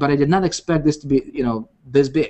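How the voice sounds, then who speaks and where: At a very fast pace, a man with a non-native accent speaks in a fairly high pitch. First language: not English. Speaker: internet marketing coach. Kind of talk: live webinar presentation. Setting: live video hangout. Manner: animated, repetitive with many fillers.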